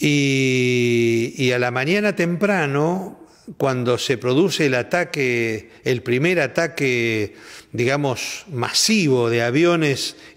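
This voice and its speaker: Against a quiet background, a man speaks at a very slow pace. His fairly high voice has lively intonation. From Argentina. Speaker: war veteran. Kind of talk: testimony. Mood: calm, reflective. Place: studio.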